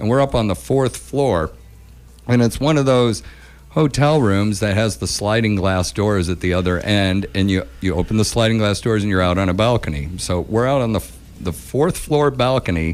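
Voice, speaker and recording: Lively in intonation, a man speaks at a fairly low pitch and a moderate pace. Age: 50s. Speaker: radio host and musician. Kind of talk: casual chat and storytelling. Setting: radio studio. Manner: halting, repeats words.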